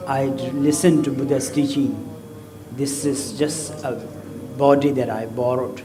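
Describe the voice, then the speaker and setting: With music in the background and audible room echo, a man with a fairly high pitch talks at a fairly slow pace in a monotone, flat intonation, leaving long, frequent pauses. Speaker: Buddhist lama. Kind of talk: dharma talk. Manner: talkative.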